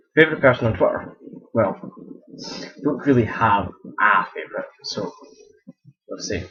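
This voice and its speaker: A man with a Scottish accent speaks at a moderate pace. He leaves long, frequent pauses, and his loudness swings widely. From Scotland. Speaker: video blogger. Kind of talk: casual Q&A vlog. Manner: halting, many false starts.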